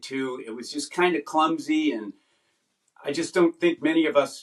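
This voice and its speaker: Using a plain, everyday voice, a man with an American accent and fairly high pitch talks at a moderate pace with lively intonation. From US East Coast. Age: 60s. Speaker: lay evangelist. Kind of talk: interview conversation.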